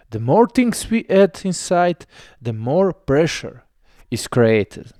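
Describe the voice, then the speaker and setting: A man's high-pitched voice with a non-native accent, a dark, mellow tone and very wide pitch swings at a very slow pace, in a very clean, dry, close recording with a silent background and no echo. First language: not English. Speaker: video essayist. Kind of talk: explainer narration.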